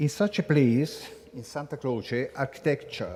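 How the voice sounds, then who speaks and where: A somewhat breathy man with an Italian accent speaks at a very slow pace in a fairly high pitch with ordinary pitch variation. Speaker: conference speaker. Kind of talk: welcome speech read aloud. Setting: conference room in a basilica. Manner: halting, reading from text.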